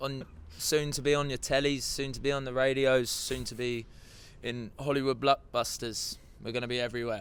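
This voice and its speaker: A man speaks with an Essex accent at a moderate pace. His intonation is monotone and flat. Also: medium pitch for a man. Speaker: rock band singer and guitarist. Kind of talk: casual interview chat.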